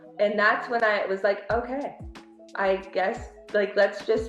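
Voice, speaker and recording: A woman speaks at a moderate pace with ordinary pitch variation. Her voice sits at a medium pitch, and there is noticeable background noise. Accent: American. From Pennsylvania, small town. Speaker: healthcare business development director. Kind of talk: podcast interview.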